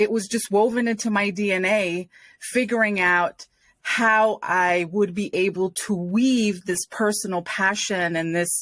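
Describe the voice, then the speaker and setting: A woman with an American accent speaks in a plain, everyday voice at medium pitch. Her pace is fairly slow and her intonation fairly even. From Rhode Island, US. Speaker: nonprofit and community leader. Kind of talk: podcast interview.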